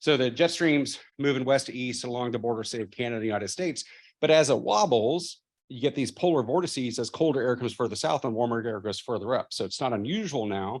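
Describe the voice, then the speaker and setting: At a very fast pace, a man talks at medium pitch with ordinary pitch variation over a quiet background. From Texas, Austin. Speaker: professor. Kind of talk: keynote speech.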